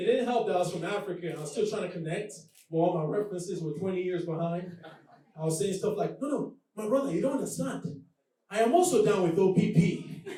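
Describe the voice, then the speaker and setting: In a room with audible echo, a man with a slight Nigerian accent speaks at a very fast pace and a high pitch. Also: ordinary pitch variation. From Nigeria, Lagos. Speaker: comedian. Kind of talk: stand-up. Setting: stage with audience.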